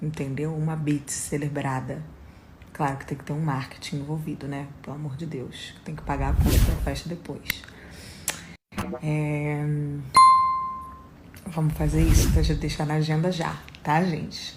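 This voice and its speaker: With music in the background, a woman with a very deep, low pitch speaks at a fairly slow pace, her loudness swinging widely between long, frequent pauses. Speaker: singer. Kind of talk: casual talk, celebrating. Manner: excited, upbeat.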